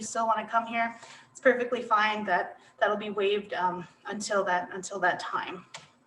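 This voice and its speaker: Against noticeable background noise, a woman speaks at a fairly quick pace in a fairly high pitch. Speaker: college representative. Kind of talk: online presentation. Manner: fast; loud.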